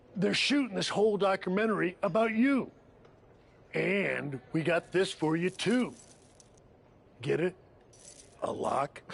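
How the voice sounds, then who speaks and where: A man's put-on character voice, high and raspy, at a fairly slow pace with long, frequent pauses. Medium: video game. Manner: persuasive, upbeat.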